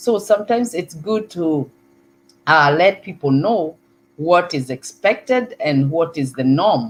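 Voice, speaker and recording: A woman with a Kenyan accent, fairly low-pitched, with lively intonation. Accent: Kikuyu. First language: Kikuyu. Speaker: online talk show host. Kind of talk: live talk show monologue. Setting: live stream. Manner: hesitant, with filler words and repetitions.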